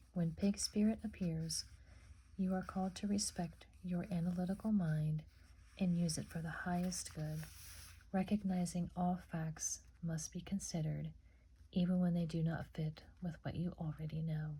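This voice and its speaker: Soft-spoken delivery in a calm tone at a moderate pace. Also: woman. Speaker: ASMR oracle card reader. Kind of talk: oracle card reading. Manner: soft-spoken, calm.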